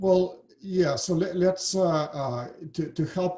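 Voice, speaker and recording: Somewhat breathy, a man with a Russian accent speaks in a dark, mellow tone. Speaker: financial firm founder. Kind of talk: interview. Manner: hesitant, many fillers.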